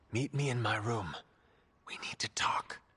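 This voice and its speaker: In a put-on character voice, a man whispers in a raspy way at a moderate pace. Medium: video game. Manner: formal, measured.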